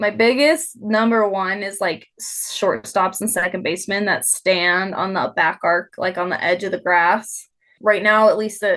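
Against a quiet background, a woman with an ordinary speaking voice talks at a moderate pace with ordinary pitch variation. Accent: American. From Nevada, near Reno. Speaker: head groundskeeper. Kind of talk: interview.

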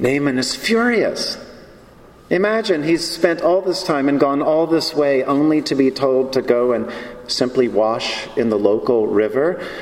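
A man's fairly high voice in an American accent, fairly slow, with lively intonation and very even loudness, plus noticeable background noise and audible room echo. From US South. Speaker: preacher. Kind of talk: sermon.

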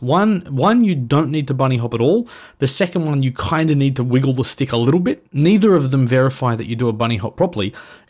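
With an Australian accent, a man speaks at a fairly high pitch with lively intonation. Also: very clean recording, silent background. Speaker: gaming video creator. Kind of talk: casual chat.

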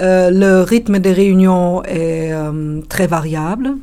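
A woman speaks with a German accent at a fairly low pitch. Her intonation stays fairly even. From Germany. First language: German (speaking French). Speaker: conference interpreter. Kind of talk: interview. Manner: hesitant.

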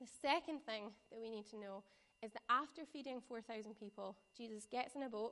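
A fairly quick delivery in a strong West Coast Scottish accent, with ordinary pitch variation. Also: woman. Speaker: preacher or church youth leader. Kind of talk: sermon. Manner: casual, conversational.

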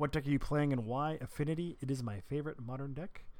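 Using a plain, everyday voice, a man speaks fairly quickly at a medium pitch with ordinary pitch variation. The recording is very clean, and the background is silent. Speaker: podcast host. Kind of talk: podcast news recap. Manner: informal, chatty.

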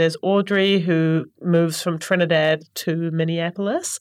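Speaking at a moderate pace and medium pitch, the woman has an ordinary speaking voice. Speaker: library staff reader. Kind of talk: casual chat about books. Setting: studio.

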